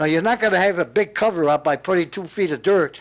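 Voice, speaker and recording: At a fairly quick pace, a man speaks in a high voice with ordinary pitch variation. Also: very clean recording, silent background. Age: 80s+. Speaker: public commenter at town meeting. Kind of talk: heated public comment. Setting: town planning board meeting room. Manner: animated, emphatic; halting, repeats words.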